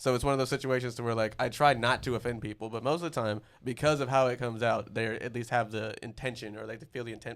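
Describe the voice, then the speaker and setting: A man talks at a very fast pace with fairly even intonation. His pitch is medium. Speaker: comedian. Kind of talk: casual chat.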